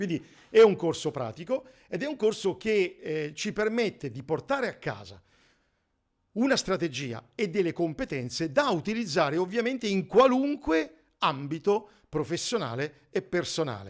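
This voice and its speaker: Very wide pitch swings at a moderate pace on a very clean recording with a silent background. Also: man, high pitch for a man. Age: 60s. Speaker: negotiation trainer. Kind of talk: course presentation. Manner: halting.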